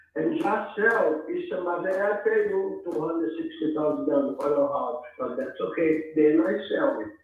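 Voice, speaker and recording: Moderately paced male speech amid noticeable background noise and audible room echo. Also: hardly any pauses. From Brazil. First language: Portuguese. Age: 70s. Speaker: home seller. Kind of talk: sales call. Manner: halting.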